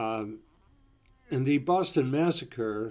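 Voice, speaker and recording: With an American accent, a man speaks at a very slow pace in a dark, mellow tone with ordinary pitch variation, recorded very cleanly against a silent background. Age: 80s+. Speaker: retired professor and political commentator. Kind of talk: video monologue. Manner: hesitant with fillers.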